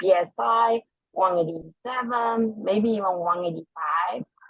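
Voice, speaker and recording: A woman with a non-native accent speaks very slowly at a medium pitch with ordinary pitch variation. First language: not English. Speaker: parent giving public comment. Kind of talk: prepared public comment. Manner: formal.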